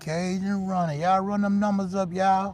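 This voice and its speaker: Fairly slow and flat, a man with a high voice speaks in a monotone. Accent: Louisiana. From northern Louisiana, Shreveport. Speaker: fishing livestreamer. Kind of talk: casual live-stream chat. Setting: outdoors on a fishing pier.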